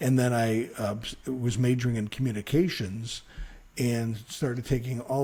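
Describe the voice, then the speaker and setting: Somewhat breathy, a man with an American accent speaks in a dark, mellow tone. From Chicago, South Side. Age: 60s. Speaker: radio news reporter. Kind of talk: interview. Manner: halting.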